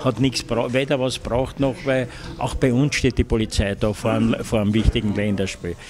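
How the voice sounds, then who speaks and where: There is noticeable background noise behind a man speaking with ordinary pitch variation. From Austria. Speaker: veteran sports reporter and commentator. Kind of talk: interview answer. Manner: hesitant, thoughtful, many fillers. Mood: reflective storytelling. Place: cafe. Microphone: handheld.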